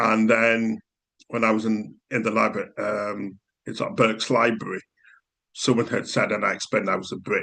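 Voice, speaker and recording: This man has a medium-pitched voice with a bright, sharp tone and a Yorkshire accent. His intonation is monotone and flat. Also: moderate pace. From Yorkshire, England. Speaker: theology professor. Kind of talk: academic talk. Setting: book launch event. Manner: wordy.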